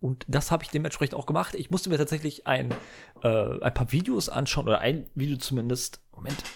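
A man talks at a fairly quick pace in a fairly high, somewhat breathy voice. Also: ordinary pitch variation. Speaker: gaming podcaster. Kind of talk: solo casual monologue. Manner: halting, many filler sounds.

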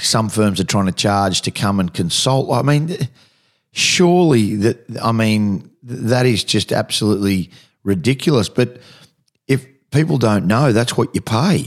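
Talking at a fairly slow pace in an Australian accent, a man with a medium-pitched voice uses lively intonation. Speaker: radio host. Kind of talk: radio interview.

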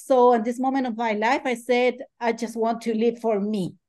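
A woman with a Spanish accent speaks in a dark, mellow tone at a high pitch against a quiet background. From Chile. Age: 50s. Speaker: ultrarunner and life coach. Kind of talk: interview.

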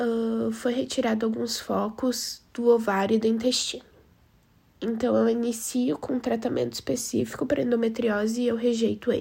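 Her dark, mellow tone sits at a fairly high pitch for a woman, with fairly even intonation and a moderate pace. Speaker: researcher. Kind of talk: testimony.

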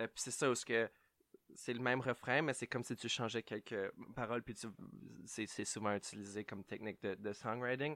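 A man with a medium pitch and a bright, sharp tone, moderate pace, fairly even intonation and long, frequent pauses, in a very clean recording with a silent background. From Ontario (Ottawa), Franco-Ontarian. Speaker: podcast co-host. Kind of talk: casual chat. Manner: hesitant, many fillers.

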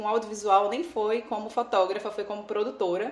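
A woman with a Pernambuco accent speaks at a moderate pace and fairly high pitch. Her intonation is fairly even, and there is noticeable background noise. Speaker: photographer. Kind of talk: casual chat.

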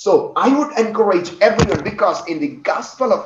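A man's voice with audible room echo. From India, Kerala. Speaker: pastor and missionary trainer. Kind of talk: sermon; testimony.

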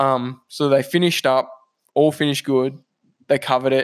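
On a very clean recording with a silent background, the speech moves at a moderate pace in a monotone, flat intonation. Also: man. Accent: Australian. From Australia, New South Wales. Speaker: civil engineer. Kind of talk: casual chat.

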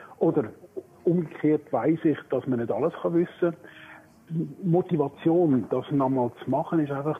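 A man speaks at a very slow pace in a fairly high pitch with ordinary pitch variation. Noticeable background noise runs underneath. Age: 60s. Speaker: retiring primary school teacher. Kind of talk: casual chat.

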